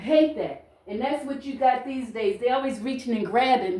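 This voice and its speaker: Loud and animated, a woman talks in a high-pitched voice. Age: 60s. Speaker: social media vlogger. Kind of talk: casual monologue to camera.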